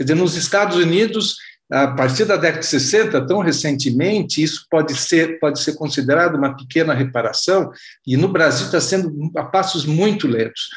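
Moderately paced speech from a man with a fairly high pitch and ordinary pitch variation. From Brazil. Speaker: reader asking questions. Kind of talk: audience question. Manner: halting.

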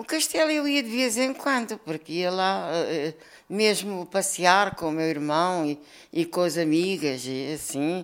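A woman with a Lisbon accent, fairly low in pitch and fairly slow in pace. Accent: Lisbon European Portuguese. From Lisbon, Portugal. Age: 70s. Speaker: elderly interviewee sharing memories. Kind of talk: oral history interview. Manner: halting, with repetitions.

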